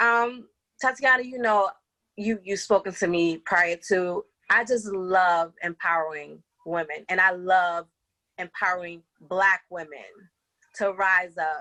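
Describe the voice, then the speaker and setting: A woman with an American accent speaks at a fairly slow pace in a bright, sharp tone at medium pitch, with ordinary pitch variation and a dry, close sound with no echo. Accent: Bronx accent, noticed by others. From New York City, the Bronx. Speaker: life coach and behavioral health care coordinator. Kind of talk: podcast interview. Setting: at home.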